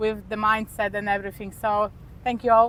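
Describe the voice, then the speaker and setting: A woman speaks with a Polish accent. Her pitch is fairly high. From Poland. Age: 20s. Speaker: expat interviewee. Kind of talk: interview.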